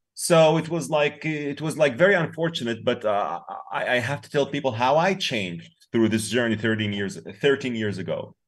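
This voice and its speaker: In an Arabic accent, a man speaks at a moderate pace with lively intonation, vocal fry and big swings in loudness against a quiet background. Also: medium pitch for a man. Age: 40s. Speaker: peace activist and influencer. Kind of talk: casual interview.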